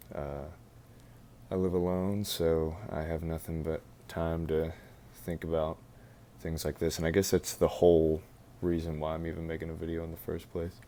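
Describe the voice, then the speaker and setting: A soft-spoken man with a very deep, low pitch and a dark, mellow tone talks at a moderate pace. His intonation is monotone and flat, with long, frequent pauses. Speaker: college student. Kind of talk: casual talk to camera.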